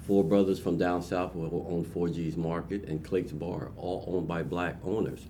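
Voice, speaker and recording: In a room with audible echo, a man speaks with a very deep, low pitch and a dark, mellow tone. His pace is moderate and his intonation fairly even. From Trenton, New Jersey. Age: 60s. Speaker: entrepreneur. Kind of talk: interview.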